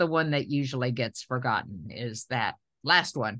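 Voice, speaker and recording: A woman's voice has a bright, sharp tone. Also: quiet background. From Tennessee. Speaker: journal editor and gynecologist. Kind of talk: casual chat.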